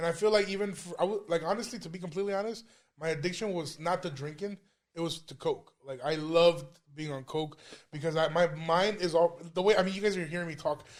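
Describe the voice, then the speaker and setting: The speech races at a very fast pace with fairly even intonation. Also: man, high pitch for a man. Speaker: stand-up comedian. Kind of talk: casual chat.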